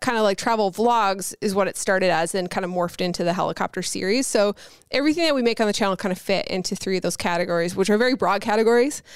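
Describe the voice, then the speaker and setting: Over a very clean, silent background, a woman with a Newfoundland accent talks very fast at medium pitch with lively intonation. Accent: Newfoundland Canadian. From Newfoundland, Canada (St. John's). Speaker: YouTuber. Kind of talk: casual chat.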